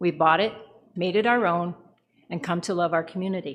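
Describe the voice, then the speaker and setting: On a very clean recording with a silent background, a woman at medium pitch speaks with a Canadian accent and ordinary pitch variation. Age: 60s. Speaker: retired nurse, public deputant. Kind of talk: public deputation to council. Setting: council meeting.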